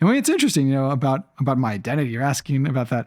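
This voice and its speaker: He is a man who speaks with an American accent. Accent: American, drifting toward Canadian. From Israel. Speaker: entrepreneur and investor. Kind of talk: interview conversation. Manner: halting, many fillers and repeats.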